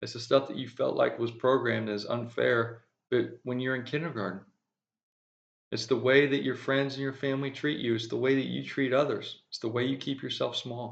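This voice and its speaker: Here a man mumbles in a slight Southern US accent. His pitch is medium and his intonation fairly even. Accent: slight drawl. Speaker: spiritual speaker. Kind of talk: spiritual monologue. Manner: mumbling.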